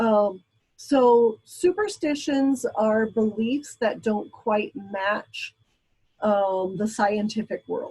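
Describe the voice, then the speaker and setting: A woman's fairly high, somewhat breathy voice, dark and mellow in tone, with ordinary pitch variation and a very slow pace. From Brazil. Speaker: college instructor. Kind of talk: lecture. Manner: hesitant, many fillers.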